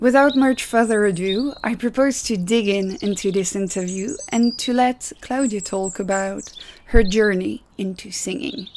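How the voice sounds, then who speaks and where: Speaking slowly, a woman with a Belgian accent uses a fairly high pitch and ordinary pitch variation. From Belgium. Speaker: podcast host. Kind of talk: podcast interview.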